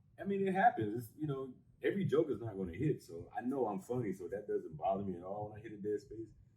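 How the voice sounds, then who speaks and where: A man with an American accent, very fast and somewhat breathy, with very wide pitch swings and big swings in loudness. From Las Vegas, Nevada. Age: 40s. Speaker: stand-up comedian. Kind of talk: casual interview chat. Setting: on a cruise ship.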